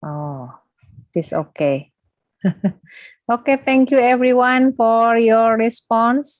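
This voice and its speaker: A woman in an Indonesian accent talks at a very slow pace with long, frequent pauses. Her fairly high pitch swings very widely. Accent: Sundanese-accented English. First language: Sundanese. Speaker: lecturer. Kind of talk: closing remarks of a lecture.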